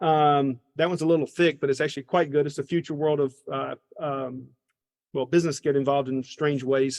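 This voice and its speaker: The speech comes at a fairly quick pace with monotone, flat intonation and a slight Southern accent. The sound is dry and close, with no echo. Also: man, fairly high pitch for a man. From US South, Georgia. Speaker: business school professor. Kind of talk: interview. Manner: halting.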